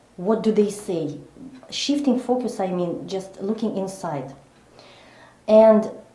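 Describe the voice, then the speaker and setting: A woman's medium-pitched voice with lively intonation and a fairly slow pace, in audible room echo. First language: not English. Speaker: psychologist and coach. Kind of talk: interview. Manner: slow, deliberate; halting, many fillers.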